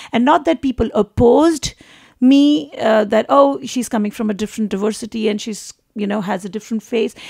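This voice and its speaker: A somewhat breathy voice with an American accent and ordinary pitch variation, in a dry, close sound with no echo. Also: woman, fairly high pitch for a woman, fairly quick pace. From India. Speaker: actor and singer. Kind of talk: interview. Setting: radio studio. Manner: halting, many repeated words.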